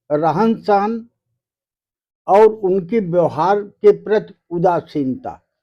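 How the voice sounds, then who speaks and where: This man's pitch sits high. His tone is dark and mellow. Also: ordinary pitch variation, quiet background. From northern India, rural village. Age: 70s. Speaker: village elder. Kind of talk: interview.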